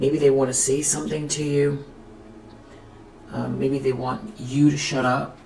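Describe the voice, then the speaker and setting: At a fairly slow pace, a woman with a very deep, low pitch speaks with fairly even intonation and long, frequent pauses amid audible room echo. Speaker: tarot reader. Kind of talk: tarot reading. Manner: stuttering; hesitant, many fillers.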